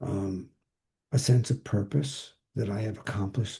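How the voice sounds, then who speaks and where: A man with a fairly low pitch and a dark, mellow tone speaks at a moderate pace, somewhat breathy and with ordinary pitch variation. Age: 80s+. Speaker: psychotherapist. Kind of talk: interview. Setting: video call. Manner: halting.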